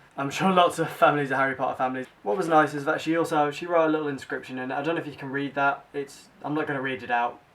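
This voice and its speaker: A man with a British accent speaks at a very fast pace. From Britain. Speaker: book vlogger. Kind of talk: casual vlog. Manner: animated.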